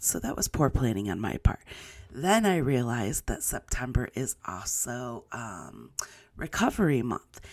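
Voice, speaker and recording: Her pitch very deep and low, a woman speaks at a moderate pace. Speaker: podcast host. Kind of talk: short announcement.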